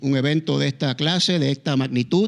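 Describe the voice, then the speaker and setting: The speaker is a man with a Puerto Rican accent. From Puerto Rico. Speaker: pastor. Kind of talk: sermon. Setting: church. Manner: halting.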